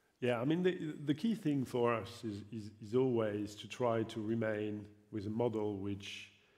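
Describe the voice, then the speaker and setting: With audible room echo, a man speaks in a dark, mellow tone at medium pitch, with ordinary pitch variation. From France. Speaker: football league executive. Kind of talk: panel discussion. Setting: stage with audience. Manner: halting, many fillers and repetitions.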